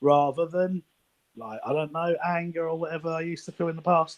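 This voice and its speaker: Speaking at a fairly quick pace, a man with a London accent has a high pitch. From East London, England. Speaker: anonymous football insider. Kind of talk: casual chat.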